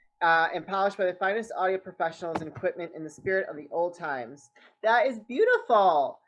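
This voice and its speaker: A woman at a very fast pace, upbeat and enthusiastic, with lively intonation and big swings in loudness. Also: medium pitch for a woman. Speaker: podcast host. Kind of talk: podcast interview hosting. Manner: upbeat, enthusiastic.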